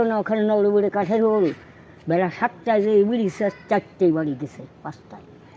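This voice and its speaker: The speaker's intonation is fairly even. Background noise is noticeable. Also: woman. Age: 80s+. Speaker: elderly local resident. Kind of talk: oral history interview. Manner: outspoken.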